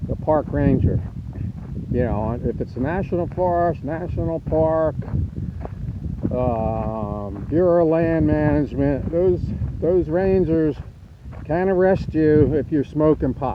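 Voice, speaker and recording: Amid noticeable background noise, a man talks very slowly at a fairly high pitch with ordinary pitch variation and long, frequent pauses. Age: 60s. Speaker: RV camping vlogger. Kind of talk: casual vlog talk. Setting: outdoors, then inside trailer. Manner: halting, many fillers.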